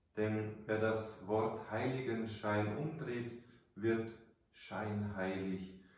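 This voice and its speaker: In a room with strong echo, a man with a warm tone and fairly low pitch speaks at a very slow pace. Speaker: priest. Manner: formal, measured, warm storytelling, earnest and didactic. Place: church. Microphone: camera far.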